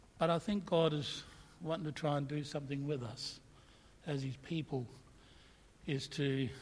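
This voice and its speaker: Somewhat breathy, a man speaks at a fairly slow pace with fairly even intonation, and room echo is audible. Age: 60s. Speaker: pastor. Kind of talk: sermon.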